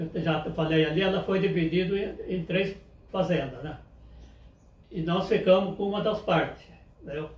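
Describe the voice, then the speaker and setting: At a moderate pace and with long, frequent pauses, a man with a high pitch speaks in a fairly even intonation, with audible room echo. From Brazil, interior of São Paulo state (Pardinho). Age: 80s+. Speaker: elderly interviewee recalling farm life. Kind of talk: oral history interview. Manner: halting, with frequent repetitions.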